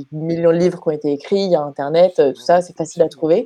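A woman speaks in a fairly low, dark and mellow voice with fairly even intonation. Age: 20s. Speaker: bass student. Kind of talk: testimony. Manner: halting.

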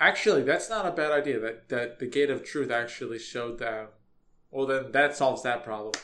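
With a bright, sharp tone, a man speaks at a fairly quick pace and a medium pitch. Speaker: podcast host. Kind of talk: casual chat.

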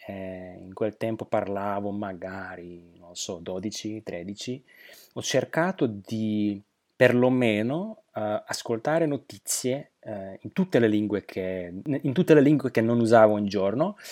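A man with a Slovak accent at a very slow pace, fairly low in pitch with ordinary variation and big swings in loudness, on a very clean recording with a silent background and a dry, close sound with no echo. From Slovakia. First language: Slovak (speaking Italian). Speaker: polyglot, translator and interpreter. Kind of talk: interview. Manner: halting, with fillers.

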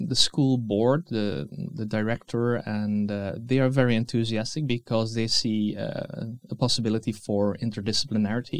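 A man's medium-pitched voice with a Dutch accent, at a fairly slow pace. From Netherlands. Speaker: museum educator and researcher. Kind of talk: interview. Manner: halting, many fillers.

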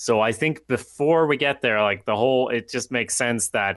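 With a quiet background behind him, a man talks in a medium pitch. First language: not English. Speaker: podcast co-host. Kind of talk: casual chat.

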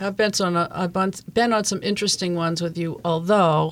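A woman speaks with an American accent in a normal speaking voice. Her pitch is fairly low, with ordinary variation. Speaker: court reporter and podcast host. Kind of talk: interview. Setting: studio.

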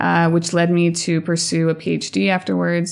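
A woman's plain, everyday voice with an American accent, fairly low in pitch with ordinary pitch variation, at a moderate pace. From Colorado, US (Montreal-born, French-Canadian family). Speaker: postdoctoral researcher and science communicator. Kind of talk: interview.

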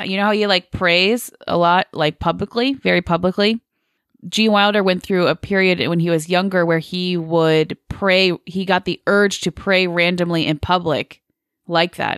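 In an ordinary speaking voice, a woman talks at a medium pitch and moderate pace with fairly even intonation, recorded very cleanly with a silent background and a dry, close sound with no echo. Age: 20s. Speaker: film podcast host. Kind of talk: casual chat.

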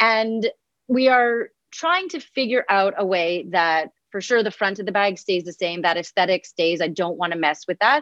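A woman talks at a moderate pace in an ordinary speaking voice, medium in pitch with lively intonation. The sound is dry and close with no echo, over a quiet background. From Montreal, Canada. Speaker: granola company founder. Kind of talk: casual advice conversation.

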